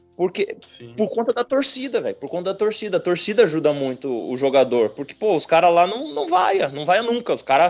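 A man with a high pitch and very wide pitch swings speaks with hardly any pauses and big swings in loudness. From Paraná, Brazil (gaúcho family). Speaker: professional football goalkeeper. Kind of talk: casual interview chat. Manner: halting, many repetitions.

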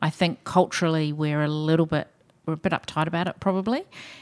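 On a very clean recording with a silent background, a woman speaks in a fairly low pitch with fairly even intonation. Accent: New Zealand. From New Zealand. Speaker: hospital chief executive. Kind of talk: casual interview.

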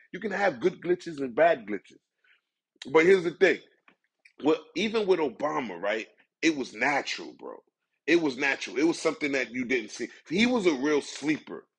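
Using an American accent, a man speaks at a fairly high pitch and a moderate pace with vocal fry and very wide pitch swings. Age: 40s. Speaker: podcast host. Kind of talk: casual monologue. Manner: halting.

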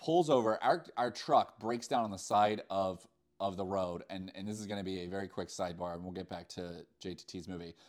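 In a very clean recording with a silent background, a man speaks with an American accent at a moderate pace. He has an ordinary speaking voice, fairly low in pitch. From Virginia. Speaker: podcast host. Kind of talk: casual chat.

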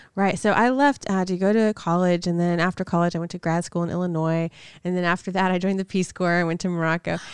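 Over a quiet background, this voice moves at a very fast pace with fairly even intonation. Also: woman, fairly low pitch for a woman. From Macon, Georgia. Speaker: community organizer and local business owner. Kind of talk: interview. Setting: studio.

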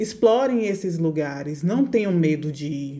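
A woman's fairly low, dark, mellow voice at a very slow pace, with ordinary pitch variation. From Brazil, Bahia (Feira de Santana). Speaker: food engineer and consultant. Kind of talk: interview.

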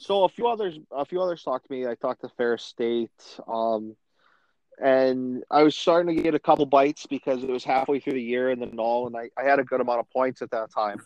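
A man at a medium pitch with an American accent, a plain, everyday voice, ordinary pitch variation and a fairly quick pace. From Macomb, Michigan. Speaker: pro hockey player. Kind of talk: casual interview.

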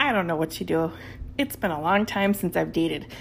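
A woman talks in an animated tone with an Upper Midwest accent. Vocal fry runs through her voice. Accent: Upper Midwest (Minnesota). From southeastern Minnesota, Red Wing. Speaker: podcast host. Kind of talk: casual solo podcast monologue.

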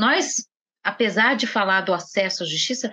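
A woman's bright, sharp tone comes at a moderate pace. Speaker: judge. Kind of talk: podcast interview.

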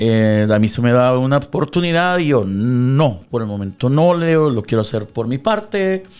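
On a very clean recording with a silent background, a man at a medium pitch talks at a fairly slow pace with hardly any pauses and very wide pitch swings. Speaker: radio DJ. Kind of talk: casual interview. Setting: radio studio.

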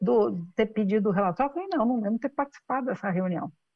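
The voice belongs to a woman. Its pitch swings very widely from moment to moment. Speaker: business executive and founder. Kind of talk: interview.

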